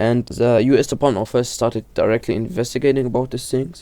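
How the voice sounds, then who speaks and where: A man with a medium-pitched voice and a dark, mellow tone talks at a fairly quick pace with fairly even intonation. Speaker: horror video explainer. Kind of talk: casual video commentary. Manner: halting, many self-corrections.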